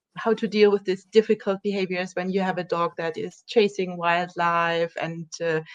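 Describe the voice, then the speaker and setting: A woman with a German accent speaks at a fairly slow pace with fairly even intonation and a dry, close sound with no echo. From Germany. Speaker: dog trainer. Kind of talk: interview.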